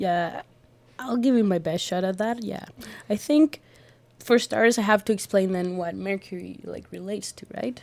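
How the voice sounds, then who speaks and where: In a Spanish accent, this woman has a medium pitch, a dark, mellow tone, ordinary pitch variation and a moderate pace. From Colombia. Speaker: art student and astrology enthusiast. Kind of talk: casual podcast conversation. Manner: halting with many fillers.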